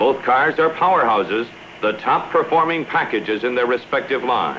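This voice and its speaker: A man with a confident tone speaks at a moderate pace with ordinary pitch variation, against noticeable background noise. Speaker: commercial film narrator. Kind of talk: 1960s sponsored film narration. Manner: polished, authoritative, brisk promotional delivery; confident, punchy, salesman-like emphasis.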